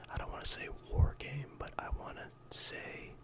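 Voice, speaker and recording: Whispering in a relaxed tone at a fairly slow pace, the speaker is heard over noticeable background noise. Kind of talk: ASMR discussion of a video game collection, casual talk to camera. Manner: soft-spoken, relaxed.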